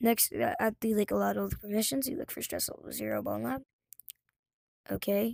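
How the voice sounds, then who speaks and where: The recording is very clean, with a silent background and a dry, close sound with no echo. Speech moves at a fairly quick pace. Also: woman. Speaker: gaming tutorial youtuber. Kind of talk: tutorial. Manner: fast; casual, halting with fillers.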